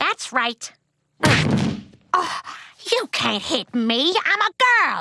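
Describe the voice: This female-sounding, cartoonish character voice is high-pitched, swings very widely in pitch, and moves at a very slow pace with long, frequent pauses.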